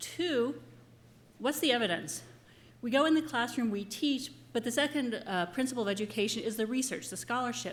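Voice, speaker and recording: Loud and lively, a woman speaks at a fairly quick pace in a high voice, with audible echo in the room. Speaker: professor. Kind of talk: conference presentation. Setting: conference room with audience. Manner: animated.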